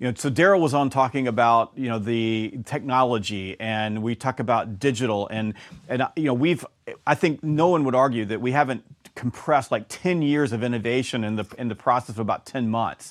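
A man with a Southern US accent talks at a fairly quick pace, his pitch medium and its variation ordinary. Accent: Southern US (Georgia). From US South, Georgia. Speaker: sales author and trainer. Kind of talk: interview.

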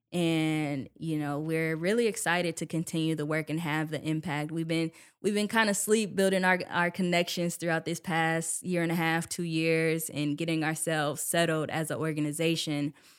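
An ordinary speaking voice with an American accent, at a moderate pace with fairly even intonation and hardly any pauses, in a very clean recording with a silent background. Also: woman, fairly low pitch for a woman. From Milwaukee, Wisconsin. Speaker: lawyer and nonprofit director. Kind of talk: interview. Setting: studio.

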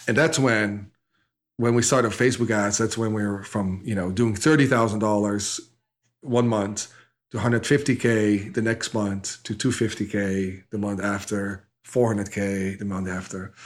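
Fairly low in pitch, a man with a Dutch accent speaks at a moderate pace with fairly even intonation. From Netherlands. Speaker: e-commerce entrepreneur. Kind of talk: interview. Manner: halting.

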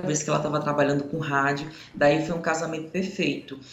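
A man with a fairly high pitch speaks at a fairly quick pace, with audible room echo and noticeable background noise. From Paraíba, Brazil. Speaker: journalist. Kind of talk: radio interview.

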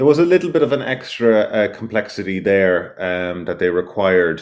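A man's very deep, low voice with an Irish accent at a moderate pace. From west of Ireland. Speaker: self-builder. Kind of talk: interview. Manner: halting.

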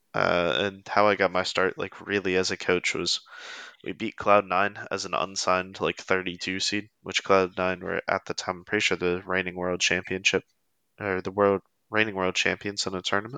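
A man with an American accent speaks at a moderate pace in a very deep, low voice with a bright, sharp tone and monotone, flat intonation, recorded dry and close with no echo against a quiet background. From US, Pennsylvania. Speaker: esports coach. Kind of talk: casual interview chat.

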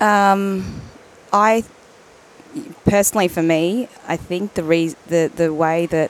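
A woman with an Australian accent over noticeable background noise. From Melbourne, Australia. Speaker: entrepreneur. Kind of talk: casual interview.

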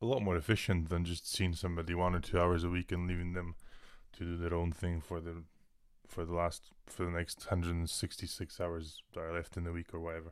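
Very deep and low in pitch, a man speaks at a fairly quick pace with monotone, flat intonation. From Scotland, Inverness. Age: 20s. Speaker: personal trainer and online fitness coach. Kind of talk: casual chat. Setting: video call.

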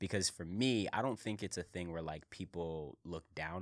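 With an American accent, a man speaks in a very deep, low pitch and ordinary pitch variation. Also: very clean recording, silent background. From Philadelphia, US. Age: 20s. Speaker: entrepreneur. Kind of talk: casual interview.

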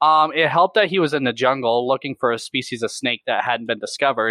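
Speaking fairly quickly in an American accent, a man has a normal speaking voice with a fairly high pitch. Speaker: reptile YouTuber and educator. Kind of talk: casual chat. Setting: video call.

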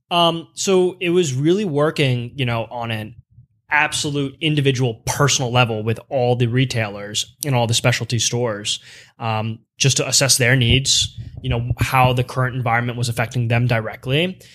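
A man with an American accent speaks in a normal speaking voice at medium pitch. His pace is moderate and his pitch variation ordinary. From Pennsylvania (Lancaster). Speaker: menswear sales director. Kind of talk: casual interview.

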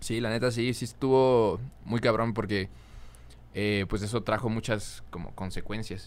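An ordinary speaking voice, a man's, carries a fairly low pitch and fairly even intonation at a fairly slow pace. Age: young. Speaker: singer and influencer. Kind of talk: casual chat.

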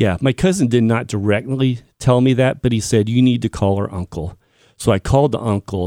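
Heard in a very clean, dry, close recording with a silent background and no echo, a man speaks in a dark, mellow tone at a medium pitch and a moderate pace, with ordinary pitch variation. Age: 40s. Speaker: podcast editor and guest sharing family tragedy. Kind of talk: testimony.

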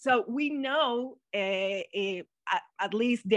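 A woman with a Mexican accent and ordinary pitch variation, in a dry, close sound with no echo over a quiet background. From Mexico. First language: Spanish. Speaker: guest, translator and economist. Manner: halting, searching for words.

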